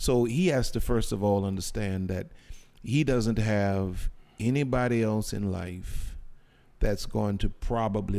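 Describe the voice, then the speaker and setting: Speaking at a fairly slow pace, a man with a dark, mellow tone uses ordinary pitch variation. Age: 50s. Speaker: pastor. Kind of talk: casual chat.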